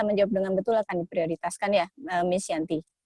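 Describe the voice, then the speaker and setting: A woman talks at a very fast pace with ordinary pitch variation, the sound dry and close with no echo. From Indonesia. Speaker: guest speaker. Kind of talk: online presentation. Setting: video call.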